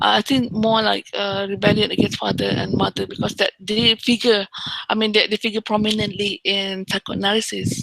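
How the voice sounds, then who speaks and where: Over noticeable background noise, a woman at medium pitch speaks at a moderate pace with fairly even intonation, the sound dry and close with no echo. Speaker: university lecturer. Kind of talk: lecture.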